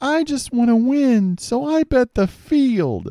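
Very slowly, a man speaks. The sound is dry and close with no echo, on a very clean recording with a silent background. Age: 60s. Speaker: sports podcast co-host. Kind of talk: casual chat.

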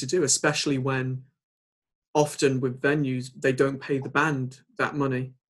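A man speaks with an English accent in a fairly high, somewhat breathy voice. His intonation is monotone and flat. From England. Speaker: podcast host and band drummer. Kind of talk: casual interview.

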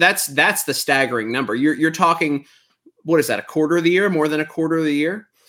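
With an American accent and a bright, sharp tone, a man speaks on a very clean recording with a silent background. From Texas. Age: 40s. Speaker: comedian. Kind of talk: casual chat.

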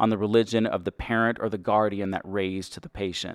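A medium-pitched man with an American accent speaks at a fairly quick pace in a very clean recording with a silent background and a dry, close sound with no echo. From Texas. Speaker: nurse practitioner educator. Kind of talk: educational lecture / podcast monologue.

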